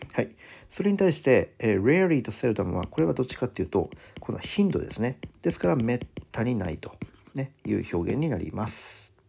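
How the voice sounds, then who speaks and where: Very wide pitch swings and vocal fry in a man's dark, mellow, medium-pitched voice, at a fairly quick pace. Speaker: English vocabulary teacher. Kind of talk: lecture. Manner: fast, run-on explanation.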